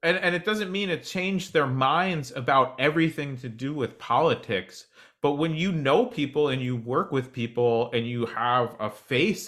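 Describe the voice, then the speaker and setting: Against a silent background in a very clean recording, a man with an American accent uses a normal speaking voice with lively intonation at a fairly slow pace. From US Northeast, New Jersey. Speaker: cannabis journalist. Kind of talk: casual chat.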